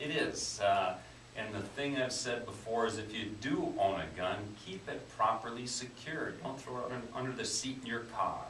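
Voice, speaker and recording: The speaker has an American accent, a moderate pace and ordinary pitch variation. Audible room echo and noticeable background noise come through. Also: man, medium pitch for a man. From Wisconsin. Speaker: police chief. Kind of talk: radio interview. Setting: radio studio.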